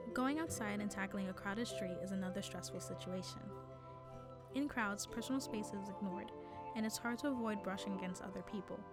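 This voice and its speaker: Music plays behind a woman who speaks at a fairly quick pace. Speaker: animation student. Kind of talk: educational animation narration.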